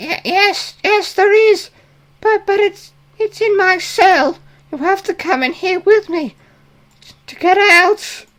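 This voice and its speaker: Using a put-on character voice with extremely high pitch, the speaker moves at a fairly slow pace, leaving long, frequent pauses. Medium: actual play. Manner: stammering, hesitant.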